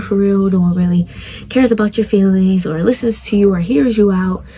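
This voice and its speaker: Noticeable background noise sits behind a woman speaking at a medium pitch and a moderate pace. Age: 20s. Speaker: podcast host. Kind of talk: personal testimony monologue.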